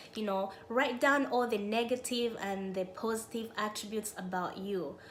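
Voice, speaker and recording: A woman with a non-native accent speaks at a moderate pace in a medium pitch. Audible room echo surrounds her voice. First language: not English. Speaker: self-help YouTuber. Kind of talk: motivational talk.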